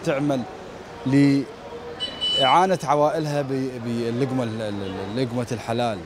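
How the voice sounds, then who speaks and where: Noticeable background noise sits behind a man whose voice sounds dry, with no echo. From Iraq. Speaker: TV street-program presenter; TV presenter. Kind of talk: on-location field reporting and street chat. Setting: outdoors at a street market. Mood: warm, praising. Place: market. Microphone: handheld.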